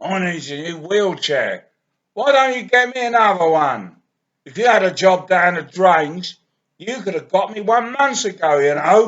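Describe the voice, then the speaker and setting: A man puts on a whiny character voice, high-pitched and raised to project, with lively intonation. He keeps a moderate pace while his loudness swings widely. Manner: whining, complaining.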